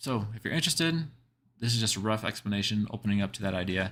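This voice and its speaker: The very clean recording, with a silent background, captures a man speaking at a fairly low pitch. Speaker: artist streaming live. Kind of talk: casual live stream chat. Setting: live stream with background music. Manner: fast; many fillers, halting restarts.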